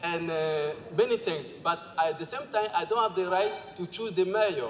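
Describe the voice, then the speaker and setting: A man talks at a high pitch, with noticeable background noise behind him. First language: Bambara. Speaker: assembly participant presenting group work. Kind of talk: group presentation. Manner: halting.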